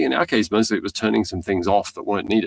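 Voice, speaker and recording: In a very clean recording with a silent background, a man talks in a fairly low pitch with an Australian accent. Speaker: tech company founder and CEO. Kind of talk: podcast interview.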